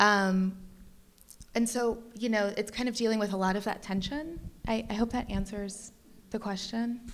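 A woman in an American accent at a moderate pace, with fairly even intonation and long, frequent pauses. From Detroit, Michigan. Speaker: curator; speaker. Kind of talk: panel talk. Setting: gallery panel with live audience. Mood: thoughtful, calm. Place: hall. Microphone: handheld.

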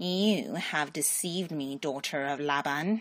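A put-on character voice, hissing at a middle pitch, moves at a fairly slow pace.

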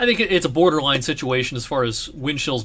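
A man with an American accent, a bright, sharp tone and a fairly quick pace. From US Midwest, southwest Ohio. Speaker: meteorologist. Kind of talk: weather forecast video. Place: home room.

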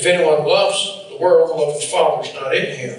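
A man speaks at a moderate pace amid strong room echo. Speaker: preacher. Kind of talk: sermon. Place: church.

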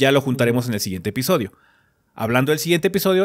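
A man's voice against a quiet background. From Mexico. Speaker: gaming podcast host. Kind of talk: casual chat. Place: home room. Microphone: studio mic.

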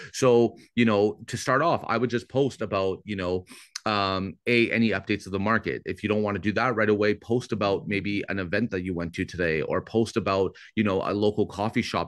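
A man with a Canadian accent has an ordinary speaking voice and a fairly low pitch, talking at a fairly quick pace with fairly even intonation. The background is quiet, and the sound is dry with no echo. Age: 30s. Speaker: real estate agent and lead-generation coach; lead-generation coach. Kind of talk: webinar coaching session. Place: home room. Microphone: video call.

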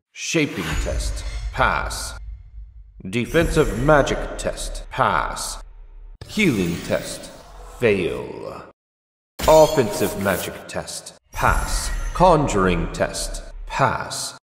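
In a raspy, put-on character voice, a man speaks at a very slow pace with long, frequent pauses and a slight echo. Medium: cartoon. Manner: formal, grave.

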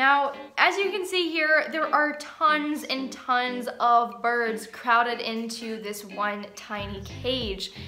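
Faint music plays behind a woman who speaks at a very slow pace in a high pitch. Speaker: pet bird vlogger. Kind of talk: reaction commentary. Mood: concerned, earnest. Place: home room.

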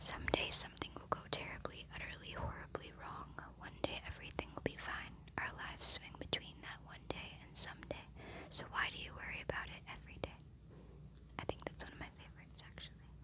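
Words come out at a fairly quick pace. It is all whispered. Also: woman. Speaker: ASMR creator. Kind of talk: ASMR poetry reading. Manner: whispered, soft-spoken. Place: home room. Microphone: phone near.

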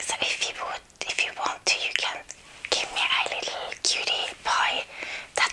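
Whispering, a woman talks at a fairly slow pace. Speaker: video creator. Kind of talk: casual vlog chat. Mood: cheerful. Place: home room. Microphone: lapel.

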